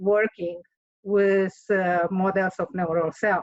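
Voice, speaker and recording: In a Romanian accent, a woman speaks at a very slow pace and medium pitch, with monotone, flat intonation. The sound is dry and close, with no echo. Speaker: author and engineer. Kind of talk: interview. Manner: hesitant, with fillers.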